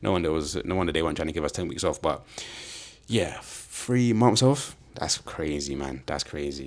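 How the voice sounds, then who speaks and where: A man speaks in a London accent with vocal fry. His pitch is very deep and low, with very wide swings. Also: moderate pace. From London, England. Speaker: football podcast host. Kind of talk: casual solo podcast chat. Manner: animated.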